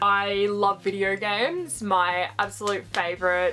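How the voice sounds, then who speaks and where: Music plays in the background. A woman with an Australian accent speaks at a fairly slow pace. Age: 20s. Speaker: vlogger. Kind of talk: casual vlog introduction.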